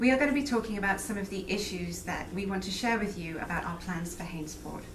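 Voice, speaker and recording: Amid noticeable background noise and audible room echo, a woman with an English accent speaks at a fairly quick pace with lively intonation. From England. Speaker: local political candidate. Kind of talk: political interview; welcome speech.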